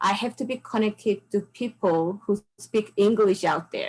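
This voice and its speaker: A woman with a Korean accent talks at a moderate pace and medium pitch, her intonation fairly even. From South Korea. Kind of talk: interview answer.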